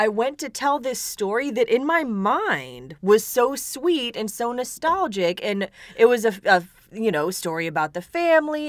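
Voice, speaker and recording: A woman's high voice amid noticeable background noise. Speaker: podcast co-host. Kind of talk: casual chat.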